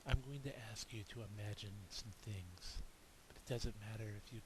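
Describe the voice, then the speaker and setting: This soft-spoken man has a calm tone and a somewhat breathy voice at medium pitch. He talks at a moderate pace. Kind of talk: guided relaxation visualization. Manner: soft-spoken, calm.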